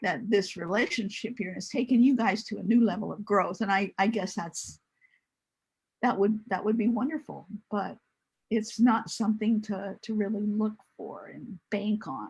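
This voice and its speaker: A somewhat breathy voice with fairly even intonation and big swings in loudness. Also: woman, fairly high pitch for a woman, moderate pace. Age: 70s. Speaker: single mother sharing her story. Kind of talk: casual chat.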